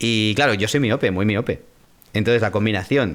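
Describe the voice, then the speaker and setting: A man with a normal speaking voice, fairly low in pitch, at a fairly quick pace with ordinary pitch variation. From Spain, Madrid. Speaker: voice actor and former radio DJ. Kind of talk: interview. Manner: casual.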